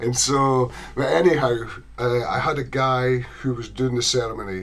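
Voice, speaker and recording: A man talks with a Scottish accent and fairly even intonation. Audible room echo and noticeable background noise surround his voice. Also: medium pitch for a man, moderate pace. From Scotland. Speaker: ukulele enthusiast. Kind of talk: casual chat.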